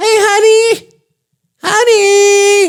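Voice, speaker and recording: A squeaky put-on character voice at an extremely high pitch, in a flat monotone. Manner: sweet, cooing.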